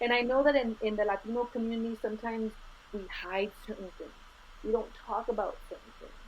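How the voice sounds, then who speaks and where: Speaking at a fairly quick pace with an American accent, a woman with a fairly high pitch keeps her intonation fairly even while her loudness swings widely. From Los Angeles, Boyle Heights. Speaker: academic and activist. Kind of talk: podcast interview.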